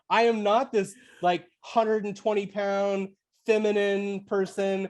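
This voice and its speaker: With monotone, flat intonation, a woman speaks at a fairly slow pace. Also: quiet background. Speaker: podcast guest. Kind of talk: casual chat.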